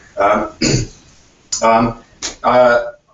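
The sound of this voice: In a room with audible echo, a man talks very slowly at a medium pitch with a fairly bright tone and little pitch movement.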